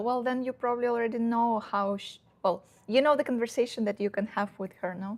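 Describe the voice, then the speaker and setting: A woman with a Russian accent at a moderate pace, fairly even intonation, on a very clean recording with a silent background. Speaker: dating advice youtuber. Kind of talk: casual live stream Q&A. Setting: live stream at home. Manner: halting, many fillers.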